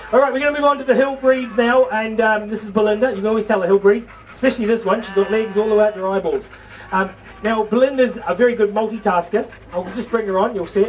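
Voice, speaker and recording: A man with a high-pitched voice speaks at a very fast pace over music in the background. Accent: New Zealand. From New Zealand. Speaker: livestock show presenter. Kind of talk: live show to audience. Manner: animated.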